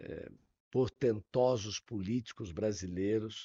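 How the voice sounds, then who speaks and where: A man speaking at a very slow pace. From Brazil, São Paulo. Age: 70s. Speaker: expo president, physician and former politician. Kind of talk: interview.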